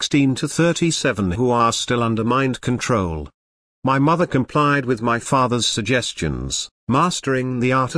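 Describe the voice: Quiet surrounds the recording. It is plain reading aloud.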